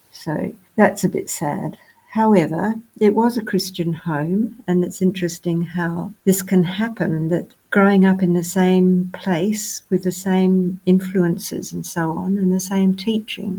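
A woman with an Australian accent at a fairly slow pace, medium in pitch, with fairly even intonation. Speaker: pastor's wife and grandmother. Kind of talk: interview testimony.

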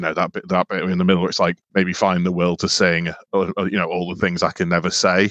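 In a very deep, low voice, a man speaks very fast with monotone, flat intonation, the sound dry and close with no echo. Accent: British. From UK. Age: 30s. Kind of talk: casual chat.

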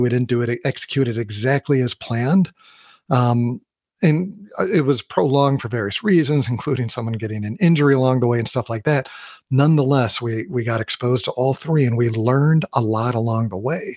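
At a very fast pace, a man with a medium-pitched voice speaks in a dry, close sound with no echo. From US Midwest. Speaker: podcast host and leadership coach. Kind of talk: solo podcast monologue.

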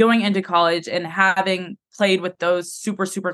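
This woman has a plain, everyday voice with a fairly low pitch. She speaks at a moderate pace with fairly even intonation. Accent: American. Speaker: college volleyball player. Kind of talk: interview.

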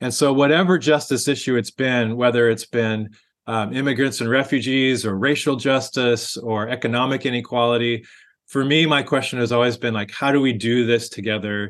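This man has an unremarkable speaking voice, medium in pitch, delivered at a moderate pace against a quiet background. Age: 50s. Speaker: pastor. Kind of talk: interview.

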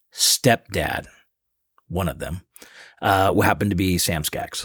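A man with an American accent speaks fairly slowly in a very deep, low voice on a very clean recording with a silent background. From US Pacific Northwest, Seattle. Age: 50s. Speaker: guest, local food enthusiast. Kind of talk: casual chat.

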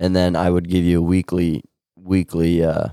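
Speaking with a Midwestern American accent, a man has a very deep, low pitch, a dark, mellow tone and monotone, flat intonation. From US Midwest, Nebraska. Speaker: podcast host. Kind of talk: casual chat. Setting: home recording with friends.

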